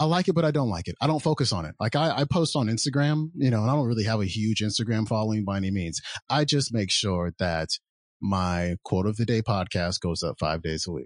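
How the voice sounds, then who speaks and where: A man talks at a fairly quick pace with a fairly low pitch and very wide pitch swings, in a dry, close sound with no echo and a quiet background. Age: 40s. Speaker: podcaster and entrepreneur. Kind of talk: casual interview chat.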